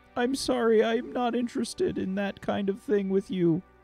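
A put-on character voice with a fairly high pitch goes at a moderate pace while faint music plays in the background. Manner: polite, formal, curious.

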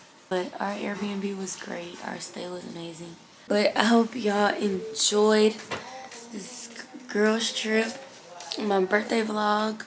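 A woman speaks very slowly with long, frequent pauses, her medium pitch in fairly even intonation. Audible room echo and noticeable background noise are present. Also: big swings in loudness. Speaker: vlogger. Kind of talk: casual vlog talk.

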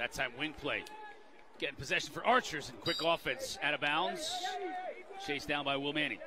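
Through noticeable background noise, a man speaks with long, frequent pauses. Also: lively intonation. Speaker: lacrosse play-by-play commentator. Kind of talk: live play-by-play sports commentary on faceoffs. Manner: rapid-fire, excitable calling of loose-ball scrambles; clipped fragments tracking the ball pass by pass.

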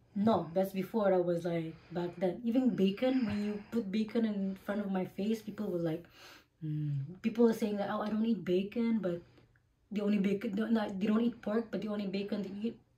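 Somewhat breathy and dark, mellow in tone, a woman talks at a fairly quick pace with fairly even intonation. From Philippines. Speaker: vlogger. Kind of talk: casual chat.

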